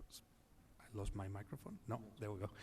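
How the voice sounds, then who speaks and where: A man at a medium pitch, speaking at a fairly quick pace. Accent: Spanish. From Spain, Madrid. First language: Spanish. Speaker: healthcare executive panelist. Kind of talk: panel discussion. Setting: conference stage. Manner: halting, many fillers.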